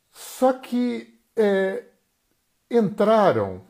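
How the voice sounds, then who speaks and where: On a very clean recording with a silent background, a man's dark, mellow tone comes through. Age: 60s. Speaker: therapist and live-stream host. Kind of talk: solo live-stream talk. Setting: Instagram live stream.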